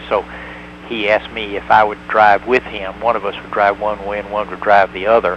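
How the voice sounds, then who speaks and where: Over noticeable background noise, a man with a Tennessee accent talks at a fairly quick pace in a fairly low pitch with lively intonation. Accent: Southern US (Tennessee). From US South, Tennessee (rural). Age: 60s. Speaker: former hospital doctor in Hong Kong. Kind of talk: interview.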